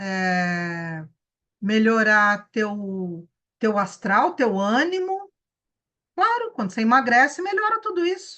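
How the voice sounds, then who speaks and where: A woman's bright, sharp voice at a very slow pace, with very wide pitch swings and long, frequent pauses. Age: 60s. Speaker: wellness teacher. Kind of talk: online class lecture. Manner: animated.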